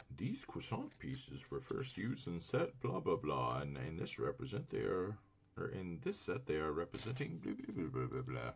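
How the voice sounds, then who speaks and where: Putting on a character voice, a man speaks in a sing-song way at a moderate pace, his pitch very deep and low. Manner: mocking, sing-song dismissive tone.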